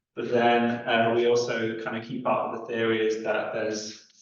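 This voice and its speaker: Audible room echo surrounds the speaker. He is a man of medium pitch with a monotone, flat intonation. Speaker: physics lecturer. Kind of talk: lecture. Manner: halting, many fillers.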